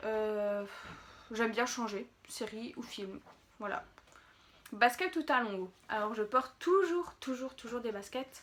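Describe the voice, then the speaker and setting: A woman with a fairly high pitch and lively intonation speaks very slowly, leaving long, frequent pauses, her loudness swinging widely over noticeable background noise. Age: 20s. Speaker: beauty youtuber. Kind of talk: casual Q&A vlog. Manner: hesitant, many fillers.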